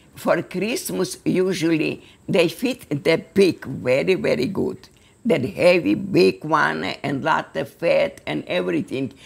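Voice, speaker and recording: Speaking with an Eastern European accent, a woman talks at a very slow pace. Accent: Eastern European, non-native English. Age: 80s+. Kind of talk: interview answer.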